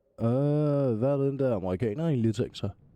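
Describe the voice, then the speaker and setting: Dark, mellow tone at a fairly slow pace, ordinary pitch variation, dry and close with no echo. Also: man. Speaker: gaming streamer. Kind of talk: gameplay commentary. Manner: halting, many fillers.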